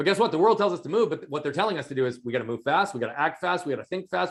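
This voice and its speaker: Loud and very fast, a man talks with very wide pitch swings. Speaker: performance coach. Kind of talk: interview.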